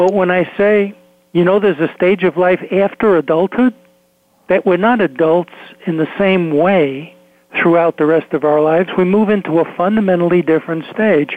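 With ordinary pitch variation, this man's voice sits high for a man. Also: moderate pace. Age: 70s. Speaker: psychologist and author. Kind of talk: radio interview.

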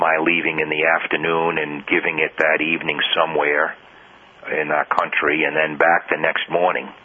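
The delivery is monotone, with flat intonation at a moderate pace. Noticeable background noise sits behind it. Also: man. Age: 60s. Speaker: judge and historian. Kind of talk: interview.

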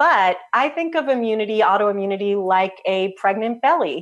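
In a plain, everyday voice, a woman with an American accent speaks at a fairly high pitch with lively intonation. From US Northeast (New Jersey). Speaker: health practitioner. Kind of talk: interview.

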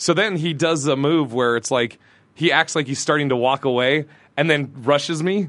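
A man speaks in a normal speaking voice, pitched fairly high, at a moderate pace. His pitch varies in an ordinary way against a quiet background. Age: 40s. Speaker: comedian. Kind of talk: casual chat.

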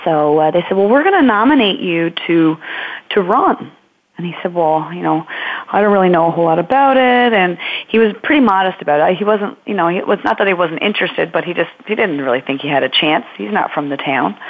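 Speaking at a fairly quick pace with a Newfoundland accent, a woman uses a fairly low pitch and very wide pitch swings. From Newfoundland, Marystown. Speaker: environmental policy graduate student, former teacher. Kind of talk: interview.

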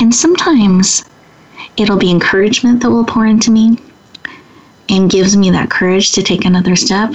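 A woman with a medium pitch speaks at a fairly quick pace, her loudness very even and her pitch varying in an ordinary way. Noticeable background noise sits behind her. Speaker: women's empowerment leader and entrepreneur. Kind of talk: interview. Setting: radio studio.

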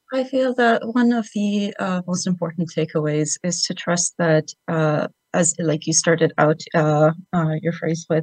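A woman with a fairly low pitch talks at a fairly slow pace in an ordinary speaking voice, the sound dry and close with no echo. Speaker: caller, business consultant. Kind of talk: phone interview. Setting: phone call.

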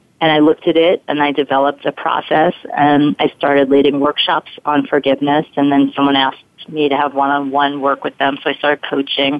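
Speaking fairly quickly with an American accent, a woman has a very deep, low pitch, monotone, flat intonation and very even loudness. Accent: slight Brooklyn accent, mostly trained away. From Brooklyn, New York. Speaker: forgiveness coach and performer. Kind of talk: interview.

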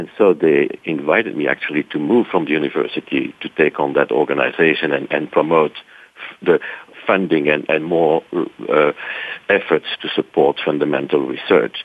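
A man speaks with a Belgian accent. His pace is moderate. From Belgium (Brussels). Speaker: science center association director. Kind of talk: interview. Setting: radio studio.

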